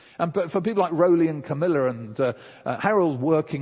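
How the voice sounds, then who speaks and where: The speaker is a man. He has a British accent. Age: 60s. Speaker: preacher. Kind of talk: sermon.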